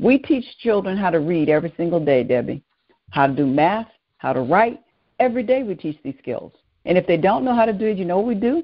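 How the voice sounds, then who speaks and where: At a fairly quick pace, a woman with a Southern US accent speaks at medium pitch with very wide pitch swings. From US South, New Orleans, Louisiana. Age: 70s. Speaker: educator and restorative practices trainer. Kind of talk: interview conversation. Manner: animated.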